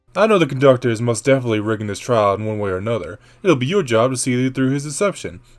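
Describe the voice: Someone is reading aloud plainly. The pitch moves up and down in an ordinary way.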